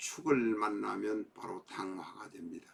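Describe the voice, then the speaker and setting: Speaking at a very slow pace is a man. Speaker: fortune teller teaching saju. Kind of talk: lecture. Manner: formal.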